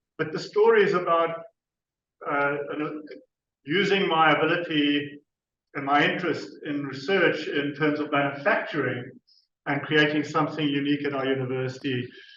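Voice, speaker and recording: Ordinary pitch variation, long and frequent pauses, and audible room echo. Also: man, fairly high pitch for a man, moderate pace. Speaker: university researcher. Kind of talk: conference presentation. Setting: conference stage with audience. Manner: hesitant, with fillers and restarts.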